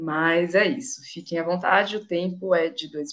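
Over a quiet background, a woman speaks slowly-ish, at a fairly slow pace and a fairly low pitch. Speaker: workshop moderator. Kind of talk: moderated panel. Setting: video call. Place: home room. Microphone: webcam.

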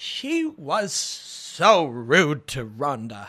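A man uses a put-on character voice. He pitches it fairly high. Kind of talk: commentary.

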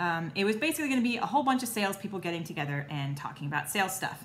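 A woman speaks with lively intonation. Light background noise can be heard. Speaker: vlogger. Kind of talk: casual vlog chat. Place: kitchen. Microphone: phone near.

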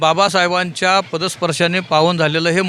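A man's voice, high in pitch. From Mumbai, Worli. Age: 60s. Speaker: political party activist. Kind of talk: on-location interview. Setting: outdoors at a sports ground.

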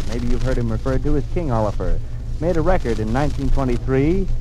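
A man at a very fast pace amid noticeable background noise. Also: dry sound with no echo. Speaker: radio announcer. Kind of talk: broadcast announcement. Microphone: old recording.

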